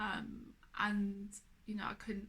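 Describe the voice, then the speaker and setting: Somewhat breathy, a woman with an English accent talks at a medium pitch and a moderate pace. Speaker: cancer survivor. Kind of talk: personal testimony. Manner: slurred speech; hesitant.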